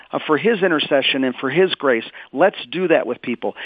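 This man has a fairly high pitch and talks at a fairly quick pace with lively intonation. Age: 50s. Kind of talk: radio interview. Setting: phone call. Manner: animated.

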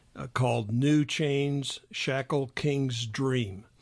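A man with an American accent, speaking at a very slow pace in a fairly even intonation. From US Midwest, Illinois. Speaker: economics professor, gambling expert. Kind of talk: interview. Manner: halting, many fillers.

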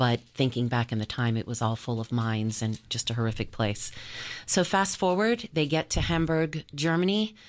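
With an American accent, a woman speaks at a moderate pace in a very deep, low voice that swings very widely in pitch. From US South, Charleston, South Carolina. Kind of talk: faith testimony on radio. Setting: radio studio.

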